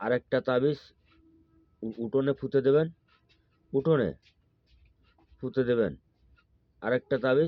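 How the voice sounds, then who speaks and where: A man's plain, everyday voice at medium pitch, with ordinary pitch variation and very even loudness. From Bangladesh, Khulna. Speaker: folk healer. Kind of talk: tutorial.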